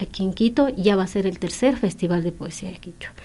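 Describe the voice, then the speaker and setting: A plain, everyday voice at a fairly quick pace, with ordinary pitch variation. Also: woman. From Ecuadorian Andes, Kichwa community. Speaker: poet. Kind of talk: radio interview.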